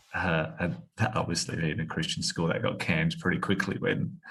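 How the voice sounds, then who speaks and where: A man's lively intonation comes through as he talks at a moderate pace. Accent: Australian. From Australia (Tasmania). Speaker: former footballer. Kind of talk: podcast interview.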